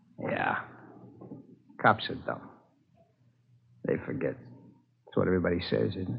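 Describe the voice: A man's put-on character voice, low in pitch with vocal fry and a husky, rough edge, fairly slow with lively intonation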